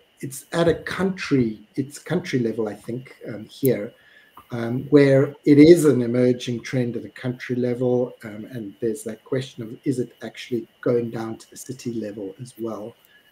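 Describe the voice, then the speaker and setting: A man with a South African accent speaks at a moderate pace and medium pitch, his somewhat breathy voice dark and mellow in tone, with ordinary pitch variation and big swings in loudness. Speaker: webinar moderator. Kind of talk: panel discussion. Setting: live stream.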